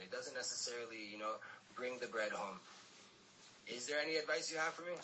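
Noticeable background noise runs through the clip. The man's pace is very fast. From mixed: Miami, South Africa, UK. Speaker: podcast host. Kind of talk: podcast interview.

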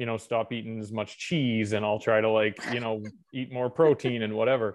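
A plain, everyday voice belongs to a man with a Canadian accent. He talks at medium pitch and a fairly quick pace. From Western Canada, Alberta. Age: 30s. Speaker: registered dietitian. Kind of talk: interview.

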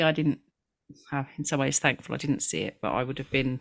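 A woman's very deep, low voice with vocal fry and fairly even intonation, in a very clean recording with a silent background. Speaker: podcast co-host. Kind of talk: casual conversational interview. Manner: chatty, laughs often.

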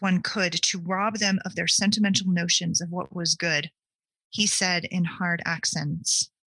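The background is quiet behind this unforced reading voice.

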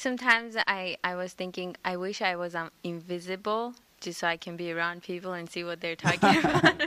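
Over noticeable background noise, a woman speaks at a fairly quick pace with hardly any pauses, a fairly low pitch, ordinary pitch variation and big swings in loudness. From Armenia. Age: young. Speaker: congregation member. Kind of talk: casual discussion. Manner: halting.

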